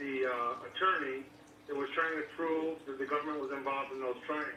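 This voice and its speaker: A man's voice carries audible room echo over noticeable background noise. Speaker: caller. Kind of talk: phone-in call. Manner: fast.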